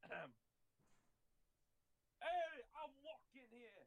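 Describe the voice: The put-on character voice is high-pitched, with a New York accent as part of the act.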